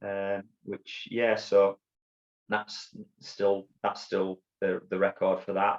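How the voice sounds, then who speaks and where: A man talks with a Yorkshire accent. The sound is dry and close, with no echo. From northern England, Bradford, Yorkshire. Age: 50s. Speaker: army veteran and ultrarunner. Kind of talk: interview storytelling. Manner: halting, many fillers and repeats.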